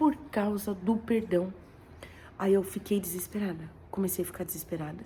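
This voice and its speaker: Soft-spoken, a woman of medium pitch talks at a fairly slow pace with ordinary pitch variation. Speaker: vlogger sharing a dream. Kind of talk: personal testimony. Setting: at home.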